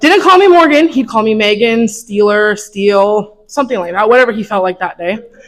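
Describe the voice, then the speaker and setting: Here a woman speaks at a fairly quick pace with a fairly high pitch. She has a normal speaking voice. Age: 20s. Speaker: former student giving eulogy. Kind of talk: memorial speech.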